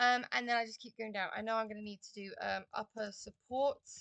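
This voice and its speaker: With a dry, close sound and no echo, a woman speaks at a fairly high pitch in a monotone, flat intonation. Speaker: design and technology teacher. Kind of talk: tutorial. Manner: hesitant, many fillers.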